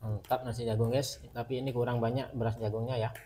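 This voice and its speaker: A man speaks at a very fast pace. His medium-pitched voice has monotone, flat intonation. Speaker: online product seller. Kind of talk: hard-sell pitch for household goods, urging viewers to tap the bottom-left corner. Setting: video promo for online shop. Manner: urgent, repetitive, hype-driven with exclamatory phrases; fast, punchy, with repeated calls to buy now.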